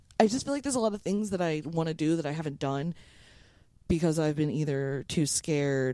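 This woman's pitch is very deep and low. Her tone is dark and mellow. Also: very clean recording, silent background. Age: 30s. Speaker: podcast co-host. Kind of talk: casual chat.

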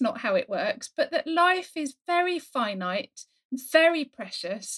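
A woman speaks at an extremely high pitch with very wide pitch swings. The sound is dry and close, with no echo. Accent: southern English. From England, Essex. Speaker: novelist. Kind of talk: casual chat. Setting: home study, remote call.

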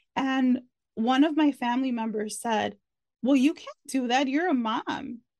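With an American accent, a woman speaks at a fairly slow pace in a high pitch with ordinary pitch variation. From Chicago, US Midwest. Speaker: podcast host and author. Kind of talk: casual interview chat.

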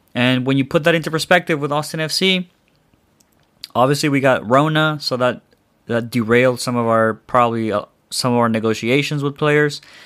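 In a very clean recording with a silent background, a man speaks with a normal speaking voice. His pitch is medium, with ordinary pitch variation, at a fairly quick pace. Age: 20s. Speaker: football podcast host. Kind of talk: casual solo podcast. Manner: casual, filler-heavy.

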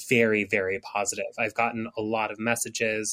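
A man with an American accent uses an unremarkable speaking voice at a medium pitch and a moderate pace. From United States, Mexican American family. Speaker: author and professional witch. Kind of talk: interview.

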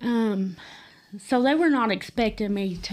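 Her pitch medium with ordinary variation, a woman is speaking. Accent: Appalachian. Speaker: guest telling personal story. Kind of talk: testimony. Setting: studio.

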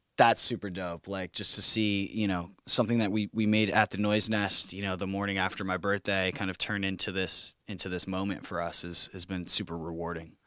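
A man talks in an unremarkable speaking voice, fairly low in pitch with fairly even intonation. The recording is very clean, with a silent background. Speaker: musician, band singer. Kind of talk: interview chat.

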